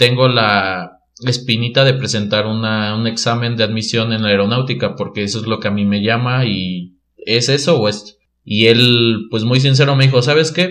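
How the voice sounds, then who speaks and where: This is an ordinary speaking voice with ordinary pitch variation, delivered at a moderate pace. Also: man, medium pitch for a man. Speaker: mechatronics engineer. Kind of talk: casual interview chat.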